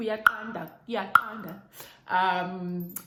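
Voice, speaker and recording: A woman speaks in a Zimbabwean accent with fairly even intonation. Audible room echo is present. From Zimbabwe, Bulawayo. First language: Ndebele. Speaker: YouTuber. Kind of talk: casual vlog chat.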